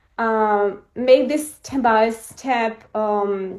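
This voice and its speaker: Her intonation fairly even, a woman with a non-native accent speaks at a fairly high pitch. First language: not English. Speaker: coaching program participant. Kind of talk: live coaching session. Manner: halting.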